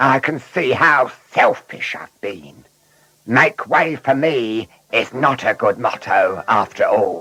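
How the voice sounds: A put-on character voice, bright and sharp in tone, with a slightly husky edge and a slow pace. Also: man, medium pitch for a man, ordinary pitch variation.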